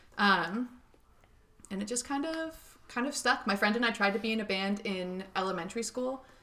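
With noticeable background noise behind her, a woman talks with ordinary pitch variation and long, frequent pauses. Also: fairly high pitch for a woman, moderate pace. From Northern California, Marin County. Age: 20s. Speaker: singer. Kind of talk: casual chat. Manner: loud.

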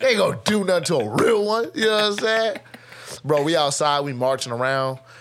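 With an American accent, a man speaks at a high pitch and fairly quick pace in an animated tone, his pitch swinging very widely, with music in the background. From Nebraska. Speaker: musician and label owner. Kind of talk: casual chat.

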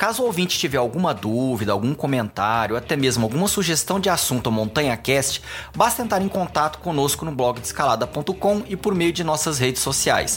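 Over music in the background, a man with a fairly high pitch talks at a moderate pace, his pitch swinging very widely. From Goiânia, Brazil. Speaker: podcast host. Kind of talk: casual interview.

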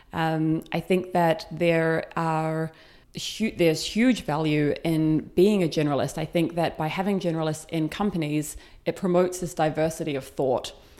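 In a very clean recording with a silent background, a woman with a New Zealand accent speaks in a dark, mellow, fairly low voice with fairly even intonation. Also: moderate pace. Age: 30s. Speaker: community founder. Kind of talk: interview. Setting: in person recording.

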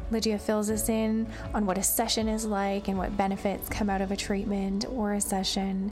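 A woman at a medium pitch, moderate pace, monotone, flat intonation and very even loudness, with music in the background. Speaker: podcast host. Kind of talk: casual interview.

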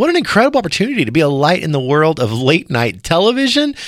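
A man speaks with an American accent at a high pitch. His tone is warm and upbeat. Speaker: radio host. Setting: radio show. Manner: warm, friendly, upbeat and energetic; smooth, polished broadcast delivery.

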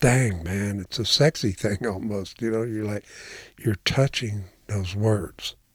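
Very slowly, a man speaks in a somewhat breathy, fairly low voice. The sound is dry and close with no echo, a very clean recording with a silent background. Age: 70s. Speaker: retired English instructor and writer, blind since childhood. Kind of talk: personal testimony.

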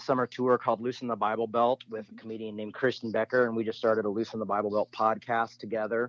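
A plain, everyday voice from a man, medium in pitch, fairly quick in pace, with fairly even intonation. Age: 40s. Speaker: pastor and author. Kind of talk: casual interview chat.

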